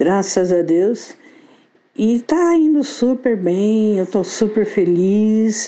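Her intonation is lively, though her loudness stays very even. The woman speaks at a very slow pace. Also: fairly high pitch for a woman. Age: 60s. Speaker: copywriter and author. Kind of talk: interview.

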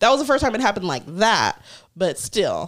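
Using a plain, everyday voice, a woman speaks at a moderate pace with lively intonation in a very clean recording with a silent background. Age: 30s. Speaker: podcast co-host. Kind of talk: casual chat.

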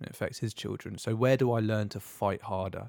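At a moderate pace, a man speaks in an unremarkable speaking voice, in a very clean recording with a silent background. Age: 30s. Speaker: former Royal Marine, motivation podcast co-host. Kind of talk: casual chat.

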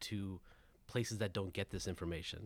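In a very clean recording with a silent background, a man with an American accent and an ordinary speaking voice speaks at a fairly quick pace with fairly even intonation. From Southern California. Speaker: education consultant and parent. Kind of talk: roundtable discussion.

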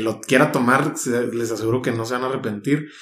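This man speaks at a medium pitch. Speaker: podcast host. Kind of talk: casual interview.

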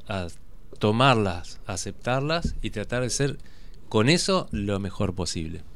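With lively intonation, a man talks at a fairly slow pace amid audible room echo. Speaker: photojournalist. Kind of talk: radio interview. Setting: radio studio.

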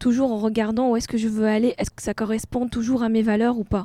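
Her tone is dark and mellow, with a fairly high pitch. The woman keeps a moderate pace. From Tunisia. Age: 40s. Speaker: art gallery founder, former engineer. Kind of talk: casual interview.

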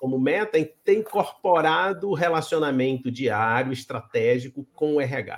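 Using a plain, everyday voice, the speaker goes at a fairly slow pace with lively intonation and hardly any pauses. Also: man, fairly high pitch for a man. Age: 60s. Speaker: interview show host. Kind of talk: interview.

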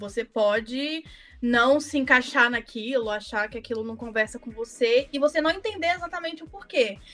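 With a Minas Gerais accent, a woman speaks at a high pitch with lively intonation. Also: moderate pace, big swings in loudness. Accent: Minas Gerais Brazilian Portuguese. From Brazil, Minas Gerais. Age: 20s. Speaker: designer, podcast guest. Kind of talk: casual chat.

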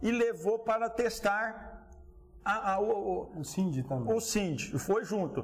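A man's speech has lively intonation and moves at a fairly slow pace. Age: 50s. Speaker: cattle rancher. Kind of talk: interview. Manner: animated.

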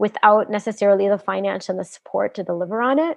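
In an American accent, a woman talks at a medium pitch with ordinary pitch variation. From US. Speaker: film director. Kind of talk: casual interview. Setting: video call.

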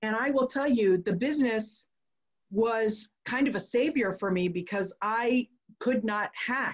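Somewhat breathy and fairly high in pitch, a woman speaks at a very slow pace with ordinary pitch variation. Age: 40s. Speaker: podcast host. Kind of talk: casual chat.

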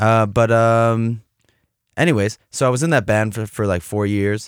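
A man speaks at medium pitch with an American accent. The recording is very clean, with a silent background. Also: dry, close sound with no echo. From US Midwest, Cleveland, Ohio. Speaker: musician and graphic designer. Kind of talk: casual chat. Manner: animated.

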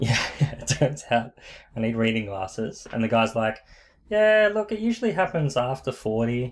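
This man's pitch is medium, with very wide swings. He speaks at a moderate pace. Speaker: podcast co-host. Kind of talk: casual chat. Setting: small recording room.

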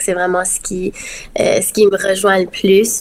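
A woman speaks at a moderate pace at medium pitch. Her intonation is monotone and flat. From Acadia, Dieppe, New Brunswick. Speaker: singer and nursing student. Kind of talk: casual interview.

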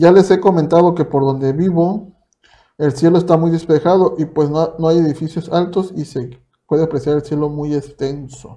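A man with a Mexican accent speaks at a moderate pace in a fairly high pitch. His tone is dark and mellow, and his intonation fairly even. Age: 20s. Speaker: podcast host. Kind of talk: casual chat.

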